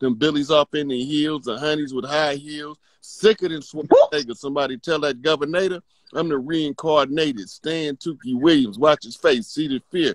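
Over a quiet background with a dry sound and no echo, a man with a fairly high pitch uses an ordinary speaking voice, ordinary pitch variation and big swings in loudness. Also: moderate pace. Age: 50s. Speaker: spiritual teacher. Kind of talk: casual chat. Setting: video call. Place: home room. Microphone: video call.

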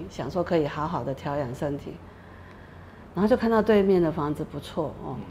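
With light background noise behind her, a woman speaks at a fairly low pitch with lively intonation. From Taiwan, New Taipei (Xinzhuang); Taiwan. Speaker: activist facing eviction. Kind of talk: interview testimony. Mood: earnest, somewhat aggrieved. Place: studio. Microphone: lapel.

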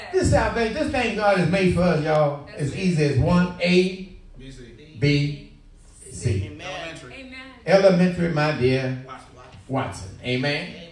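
A man's fairly high-pitched voice with lively intonation at a fairly slow pace, long, frequent pauses, light background noise and audible room echo. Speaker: pastor delivering a sermon to a congregation. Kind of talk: church sermon, preaching with call and response. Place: church. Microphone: handheld.

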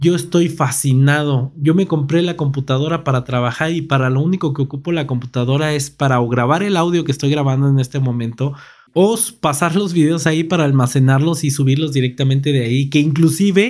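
Against a quiet background, a man with a Mexican accent talks at a fairly quick pace, with hardly any pauses. His pitch is fairly high, with ordinary pitch variation. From Mexico. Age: 30s. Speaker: tech YouTuber. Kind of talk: product review. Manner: casual. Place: home room. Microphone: studio mic.

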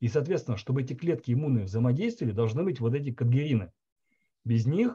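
The voice is somewhat breathy, with a dark, mellow tone and lively intonation. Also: man. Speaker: biologist; presenter. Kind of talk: online seminar discussion. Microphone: video call.

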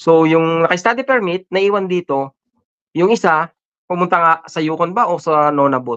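A moderate pace against a quiet background. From Philippines. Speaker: podcast co-host. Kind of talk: casual chat. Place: home room. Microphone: video call.

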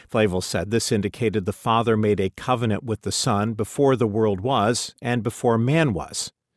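A man has an ordinary speaking voice at a medium pitch, with ordinary pitch variation and a moderate pace. The sound is dry and close with no echo, the recording very clean and the background silent. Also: hardly any pauses. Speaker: audiobook narrator. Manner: measured, formal, reverent.

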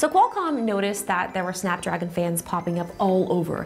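Over faint background music, a woman talks at a fairly quick pace. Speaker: tech reviewer. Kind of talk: sponsored product presentation. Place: studio.

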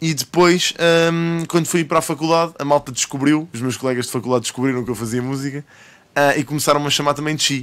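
At a very fast pace, a man with a European Portuguese accent speaks with a fairly high pitch and fairly even intonation. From Portugal. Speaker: rapper and streamer; interview guest, live streamer. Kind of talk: casual chat. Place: studio. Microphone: studio mic.

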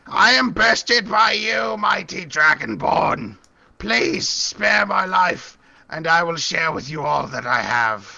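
A man puts on a character voice, pitched high for a man and delivered at a fairly slow pace. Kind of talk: game master character voice. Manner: pleading, servile.

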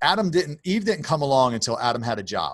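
An American-accented man at a fairly quick pace, fairly high-pitched with lively intonation, over a quiet background. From Baltimore, US. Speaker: author and nonprofit founder; podcast guest. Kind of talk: testimony; interview answer. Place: office.

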